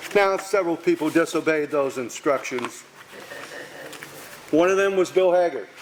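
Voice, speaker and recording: Against noticeable background noise, a man with an American accent speaks at a high pitch with ordinary pitch variation. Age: 80s+. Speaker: retired teacher, speaker at park dedication. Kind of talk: memorial speech with anecdotes.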